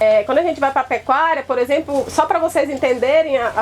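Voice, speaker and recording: A high-pitched woman's voice with ordinary pitch variation and noticeable background noise. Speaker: rural extension agent. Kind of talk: presentation at a symposium. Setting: field day event with audience. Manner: fast.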